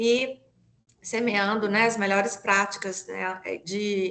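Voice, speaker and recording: Speaking in a Minas Gerais accent, a woman holds a medium pitch with a flat, monotone intonation. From Brazil, Minas Gerais (Belo Horizonte). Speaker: environmental lawyer and consultant. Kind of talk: webinar presentation. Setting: online webinar. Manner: frequent fillers (né, é).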